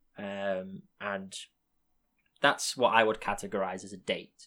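A man with an English accent, a fairly low pitch and a bright, sharp tone. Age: 20s. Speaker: podcast host. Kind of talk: casual chat. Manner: animated.

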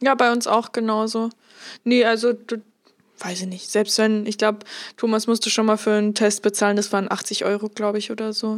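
Talking at a fairly quick pace, a woman keeps a monotone, flat intonation. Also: fairly high pitch for a woman. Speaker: podcast co-host, model. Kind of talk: casual chat.

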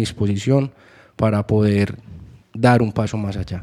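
A man's dark, mellow voice at a fairly slow pace, in a very clean recording with a silent background. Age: 30s. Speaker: music manager and executive producer. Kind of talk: interview.

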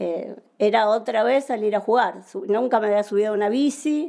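At a moderate pace, a woman with a fairly high pitch and a dark, mellow tone speaks with ordinary pitch variation. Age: 50s. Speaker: architect and amateur triathlete. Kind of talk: interview.

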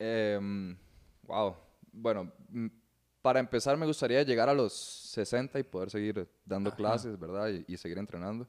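A man's ordinary speaking voice, fairly low in pitch with ordinary variation, at a fairly slow pace in a very clean recording with a silent background. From Venezuela, raised in Costa Rica from childhood. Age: 20s. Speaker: mixed martial arts fighter and jiu-jitsu instructor. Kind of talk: casual chat.

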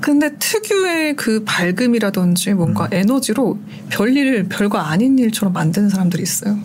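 Against noticeable background noise, a woman talks at a moderate pace with very even loudness. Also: medium pitch for a woman, lively intonation. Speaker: radio producer and DJ, now guest. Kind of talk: casual interview conversation.

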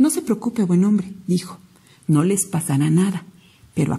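Unforced reading voice, nothing more.

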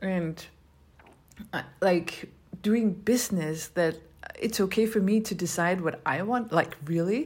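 A woman speaks at a moderate pace with lively intonation. Her medium-pitched voice is somewhat breathy. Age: 30s. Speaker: podcast host. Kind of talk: solo rant. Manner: casual, rambling with self-corrections.

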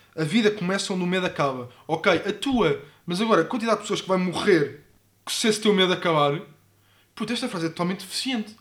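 On a very clean recording with a silent background, a man talks very fast in a high voice with ordinary pitch variation. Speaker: podcast co-host. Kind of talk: casual chat. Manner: animated.

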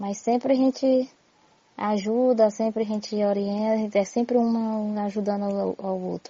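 A woman speaks at a fairly slow pace in a fairly high, somewhat breathy voice. Her intonation is flat and monotone. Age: 40s. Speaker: community leader. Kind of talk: testimony. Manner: halting.

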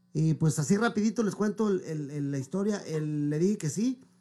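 The man has a plain, everyday voice, pitched fairly high. His intonation is lively. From Mexico, Michoacán. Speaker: singer. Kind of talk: interview.

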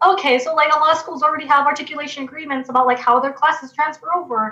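A woman with an American accent talks very fast in a raised, projected voice. Noticeable background noise runs underneath. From Los Angeles, California. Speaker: university student. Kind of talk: interview. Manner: casual, filler-heavy.

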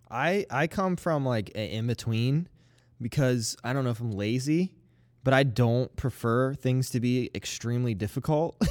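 At a fairly slow pace, a man speaks in an animated tone with a medium pitch and ordinary pitch variation. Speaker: podcast host. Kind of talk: casual podcast chat about gaming. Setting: online stream, recorded remotely. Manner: animated, joking.

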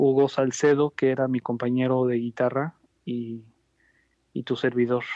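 Monotone and flat, a man with a medium pitch speaks at a moderate pace. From Mexico, Jalisco (Ciudad Guzmán). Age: 30s. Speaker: flamenco guitarist. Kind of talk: interview.

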